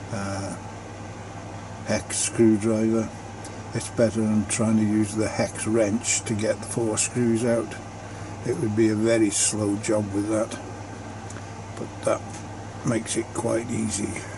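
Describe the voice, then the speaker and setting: A man's fairly low, relaxed voice, very slow, with long, frequent pauses and monotone, flat intonation over noticeable background noise. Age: 70s. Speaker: hobbyist maker, 3D printing. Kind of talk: unboxing tutorial narration. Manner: relaxed, hesitant with fillers.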